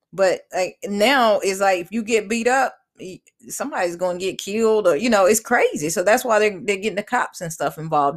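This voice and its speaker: Talking at a fairly quick pace, a woman with a normal speaking voice and medium pitch uses lively intonation. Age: 40s. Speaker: podcast host. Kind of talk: casual chat.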